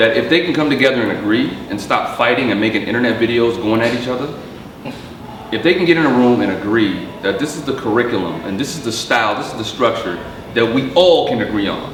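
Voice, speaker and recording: Noticeable background noise sits under the recording. A man at medium pitch talks at a very fast pace. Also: ordinary pitch variation. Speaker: comedian, actor, dancer. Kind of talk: interview answer. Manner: casual.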